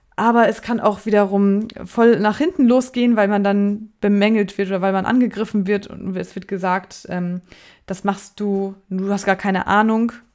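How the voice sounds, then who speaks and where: On a very clean recording with a silent background, a woman at a medium pitch speaks at a fairly slow pace with fairly even intonation. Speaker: editor and writing coach. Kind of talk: tutorial. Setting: pre-recorded video. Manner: hesitant.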